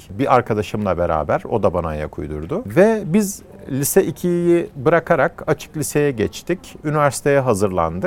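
The voice swings very widely in pitch at a moderate pace, with hardly any pauses. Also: man, fairly high pitch for a man. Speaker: company founder, engineer-entrepreneur. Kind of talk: interview.

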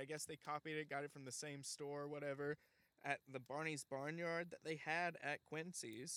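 At a moderate pace, a man with a slight Southern US accent speaks in an animated, bright, sharp tone at a fairly high pitch. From Alabama. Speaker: comedy podcast host. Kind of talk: comedic late-night talk show monologue. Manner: jokey, animated.

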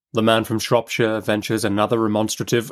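In a very clean recording with a silent background, a man talks at a fairly quick pace with a fairly low pitch and little pitch movement.

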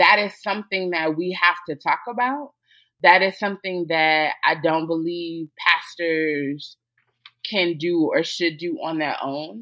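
A woman with an American accent and an unremarkable speaking voice, fairly low pitch, ordinary pitch variation and a fairly slow pace. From US South. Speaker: theologian and podcaster. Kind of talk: interview conversation.

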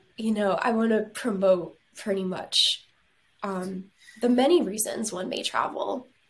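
A woman speaks at a fairly slow pace in a fairly high, somewhat breathy voice. Her pitch varies in an ordinary way. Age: 20s. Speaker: travel agent and arts management graduate. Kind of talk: interview. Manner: animated.

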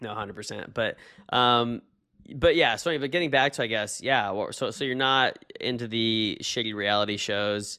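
A man speaks in a normal speaking voice at a medium pitch. His pace is moderate, with ordinary pitch variation. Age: 30s. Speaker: podcast co-host. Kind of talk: casual chat. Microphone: new webcam.

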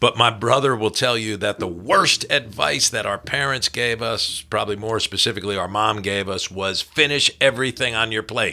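The voice has a bright, sharp tone and ordinary pitch variation, moving at a moderate pace with hardly any pauses. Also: man, medium pitch for a man. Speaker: podcast host. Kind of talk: casual chat. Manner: talkative.

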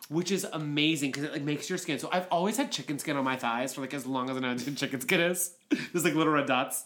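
With an American accent, a man rattles along at a very fast pace with hardly any pauses, his fairly high voice showing ordinary pitch variation. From Pittsburgh, Pennsylvania. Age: 30s. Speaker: podcast co-host. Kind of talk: casual chat.

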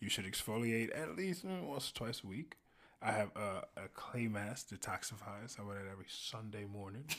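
In an American accent, a man with a normal speaking voice talks at a fairly quick pace with ordinary pitch variation. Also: fairly low pitch for a man. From US South. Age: 20s. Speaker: podcast host. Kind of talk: casual chat.

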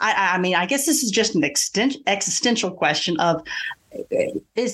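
Against a quiet background, a woman speaks with a Southern US accent. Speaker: podcast host and English teacher. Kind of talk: interview conversation.

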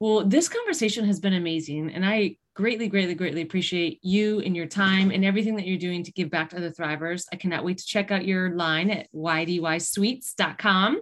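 A plain, everyday voice from a woman at medium pitch, fairly quick with hardly any pauses and ordinary pitch variation. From Western New York. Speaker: podcast host, cancer exercise specialist. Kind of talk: interview.

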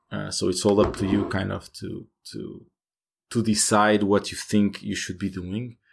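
A man with a Portuguese accent, fairly low in pitch, with fairly even intonation. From Portugal. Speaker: game developer. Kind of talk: interview. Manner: hesitant, many fillers.

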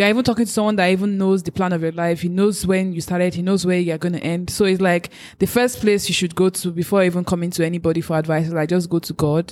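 Speaking at a very fast pace with hardly any pauses, a woman keeps a fairly low pitch and fairly even intonation. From Nigeria. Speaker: podcast host. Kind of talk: casual chat.

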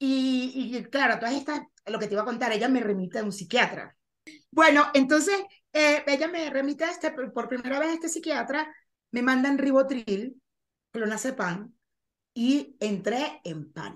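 A woman's high-pitched, lively-sounding speech in a coastal Venezuelan accent. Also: moderate pace. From Venezuela, Caribbean coast. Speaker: actress and podcaster. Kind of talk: interview about mental health. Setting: video call.

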